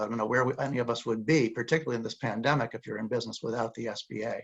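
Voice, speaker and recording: A man speaks at a medium pitch with ordinary pitch variation. Vocal fry runs through his voice. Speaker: community lender representative. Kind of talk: panel discussion. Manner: fast.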